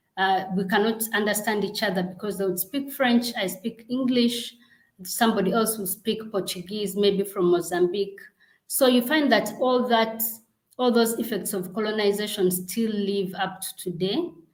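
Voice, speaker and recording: Somewhat breathy woman's voice at a moderate pace. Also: medium pitch for a woman, ordinary pitch variation. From Uganda. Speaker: global health program director. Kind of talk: interview.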